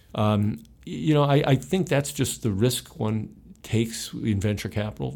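Speech comes at a moderate pace with lively intonation in a Midwestern American accent. The recording is very clean, with a silent background. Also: man. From Ohio, US Midwest. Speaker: retired investment executive. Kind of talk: interview. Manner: halting, many fillers.

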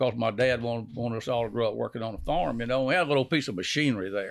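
With a Louisiana accent, a man speaks at a medium pitch in a very clean recording with a silent background. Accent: Louisiana Southern US. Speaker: decoy company founder. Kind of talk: casual chat.

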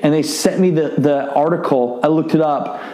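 Noticeable background noise sits behind this recording. A man with an American accent talks at a fairly high pitch. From US Midwest, Iowa. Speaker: podcast host and entrepreneur. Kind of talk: solo podcast monologue. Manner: speaks fast when excited.

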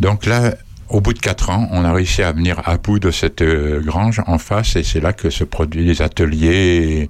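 Very slowly, a man speaks at a very deep, low pitch. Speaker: association former president. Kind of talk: casual radio chat.

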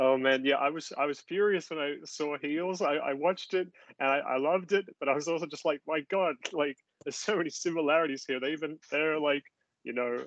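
This man has a fairly high pitch and an Australian accent. His intonation is fairly even. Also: moderate pace. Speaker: podcast guest, musical theatre writer.

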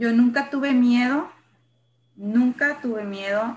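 A woman's high-pitched voice with ordinary pitch variation at a very slow pace. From Sonora, northern Mexico (San Luis Río Colorado). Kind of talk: personal testimony in interview.

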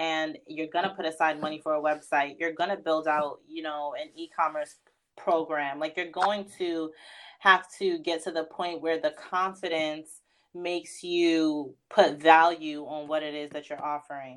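Delivered at a fairly slow pace in a New York accent, the speech has monotone, flat intonation over a quiet background. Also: woman, very deep, low pitch for a woman. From New York, Queens (Far Rockaway). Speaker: fashion stylist and editor. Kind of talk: casual interview chat.

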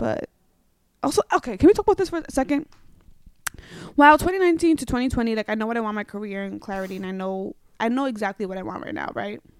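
With a New York accent, a woman talks at a very fast pace with long, frequent pauses, very wide pitch swings and big swings in loudness, recorded dry and close with no echo. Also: fairly high pitch for a woman. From New York, the Bronx. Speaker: podcaster. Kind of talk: casual chat. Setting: home studio in a Brooklyn brownstone.

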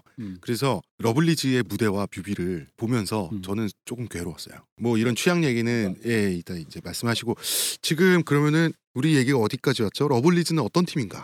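A man's medium-pitched voice at a fairly quick pace, with very wide pitch swings and a very clean recording over a silent background. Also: dry, close sound with no echo. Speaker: podcast host. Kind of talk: casual chat. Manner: fast.

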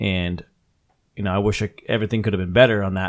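A man speaks with fairly low pitch and monotone, flat intonation. The recording is very clean, with a silent background. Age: 30s. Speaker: podcast host. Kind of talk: casual chat.

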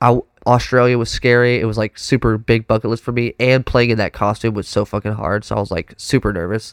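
In a very clean recording with a silent background and a dry, close sound with no echo, a man with a Texan accent talks at a very fast pace in a medium pitch, animated in tone, with hardly any pauses. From Texas. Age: 20s. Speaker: professional drummer. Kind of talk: casual chat. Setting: studio.

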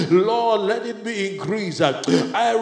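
Speaking in a passionate tone at a very slow pace, a man with a high pitch is heard against noticeable background noise. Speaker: church leader. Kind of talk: fervent prayer; exhortation/sermon. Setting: church gathering. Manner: fervent, passionate, emphatic; repetitive, exhorting.

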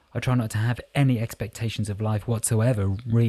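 Intonation stays fairly even through this plain reading aloud.

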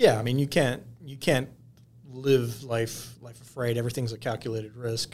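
With an American accent, a man talks at a moderate pace and medium pitch in a somewhat breathy, monotone voice whose loudness swings widely. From Michigan, US. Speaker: lawyer. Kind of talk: casual chat. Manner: halting, many repeated words.

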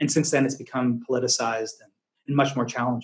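A man speaks at a medium pitch with fairly even intonation. He has an ordinary speaking voice. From Massachusetts, US. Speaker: investment firm founder and CEO. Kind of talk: casual interview conversation.

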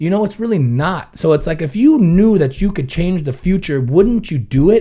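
A man with an American accent speaks at a moderate pace in a dark, mellow tone, pitched high and swinging very widely in pitch. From Ventura, California. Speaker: business owner and guest. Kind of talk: casual chat.

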